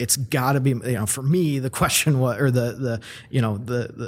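A somewhat breathy male voice of medium pitch at a moderate pace, on a very clean recording with a silent background. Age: 30s. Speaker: real estate company president. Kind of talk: casual interview.

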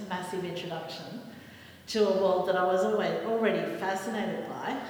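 With an Australian accent, a woman speaks at medium pitch with fairly even intonation, over noticeable background noise and audible room echo. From northern New South Wales, Australia. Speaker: visual artist. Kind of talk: panel discussion. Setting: art gallery room with audience.

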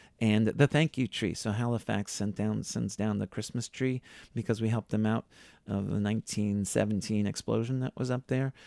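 A man with a Boston accent, fairly low pitch and a dark, mellow tone, speaking at a moderate pace with fairly even intonation, dry and close with no echo on a very clean recording with a silent background. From Boston area, Massachusetts (Needham). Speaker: tour guide and driver. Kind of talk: interview.

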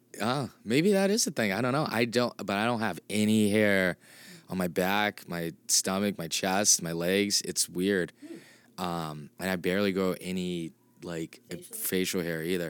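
On a very clean recording with a silent background, a man with an unremarkable speaking voice talks at a fairly low pitch and moderate pace, with ordinary pitch variation. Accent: American. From Massachusetts (Clinton). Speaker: comedian. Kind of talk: casual chat. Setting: green room of a comedy theater.

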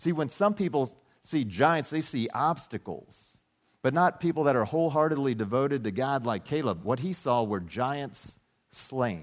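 A man with a normal speaking voice talks at a moderate pace in a medium pitch, his intonation lively, on a very clean recording with a silent background. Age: 50s. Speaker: pastor. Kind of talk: sermon. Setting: church.

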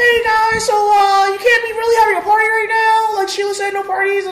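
A squeaky, put-on character voice at an extremely high pitch, delivered in a flat monotone. The pace is fairly quick, and background noise is clearly audible.

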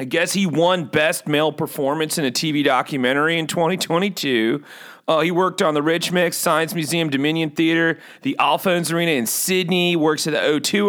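Very even in loudness, the voice has a bright, sharp tone, an American accent, ordinary pitch variation and a moderate pace. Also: man. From California. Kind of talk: casual chat. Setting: video call.

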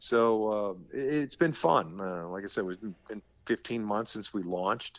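A normal speaking voice from a man, fairly low in pitch, at a moderate pace, with ordinary pitch variation and big swings in loudness. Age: 50s. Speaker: baseball play-by-play broadcaster. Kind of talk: podcast interview. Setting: remote call.

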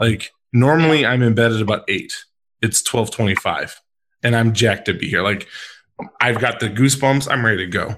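Medium-pitched man with an American accent, ordinary pitch variation and a moderate pace, on a very clean recording with a silent background. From Chicago, US Midwest. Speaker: podcast host. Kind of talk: casual chat. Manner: animated.

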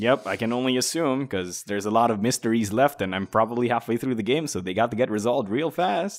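With hardly any pauses, the talk races along at a very fast pace, its pitch varying normally. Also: man, medium pitch for a man. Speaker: podcast co-host and game critic. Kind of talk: casual chat.

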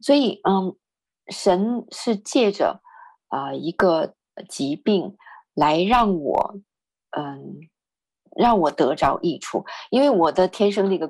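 Speaking at a very slow pace with long, frequent pauses, a woman uses a medium pitch and very wide pitch swings. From northern China. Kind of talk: testimony.

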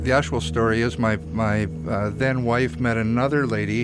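Music can be heard behind the voice. The speaker is a man. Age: old. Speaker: film instructor and colorist, radio guest. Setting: radio studio.

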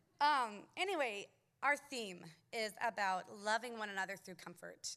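A woman's bright, sharp tone at a very slow pace. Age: 30s. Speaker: church member. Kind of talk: testimony. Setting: stage with audience. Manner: animated.

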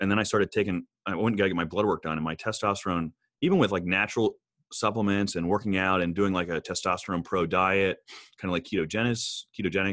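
A man talks at a fairly quick pace in a very deep, low voice. The recording is very clean and silent behind him, with a dry, close sound and no echo. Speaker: chiropractor. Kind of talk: casual chat. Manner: intense, energetic.

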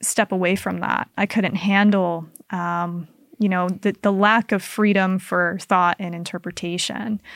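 A woman with an American accent has a plain, everyday voice at medium pitch, speaking at a fairly slow pace with fairly even intonation. The recording is very clean with a silent background, dry and close with no echo. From Utah, Salt Lake area (Kaysville). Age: 20s. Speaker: cult recovery advocate. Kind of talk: interview conversation.

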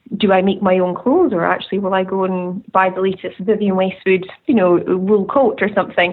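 A woman speaks at a medium pitch and a fairly quick pace. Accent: Scottish Highland. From Scottish Highlands. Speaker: tartan designer and business owner. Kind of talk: interview conversation. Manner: hesitant, many fillers.

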